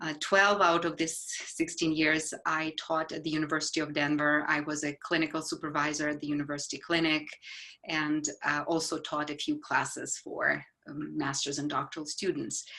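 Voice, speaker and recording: The speaker has a Ukrainian accent and a bright, sharp tone. The delivery is monotone and flat at a moderate pace. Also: woman, very deep, low pitch for a woman. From Ukraine. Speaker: psychologist. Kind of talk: casual conversation. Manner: halting, with fillers.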